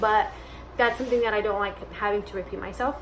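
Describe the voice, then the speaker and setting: A woman's fairly high-pitched, animated voice against noticeable background noise. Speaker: lifestyle vlogger. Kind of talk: casual Q&A vlog. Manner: loud.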